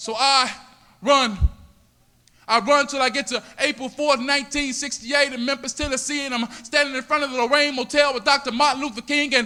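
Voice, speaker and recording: A man's raised, projected voice at an extremely high pitch, monotone and flat, at a fairly quick pace with music in the background. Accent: American. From US South, Miami, Florida. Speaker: spoken word poet. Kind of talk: spoken word poetry performance. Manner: rhythmic, dramatic delivery.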